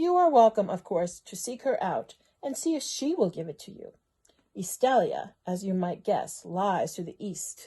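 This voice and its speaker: A put-on, drawling character voice, female-sounding and at medium pitch, at a moderate pace against a quiet background. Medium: read story. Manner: drawling, snappish.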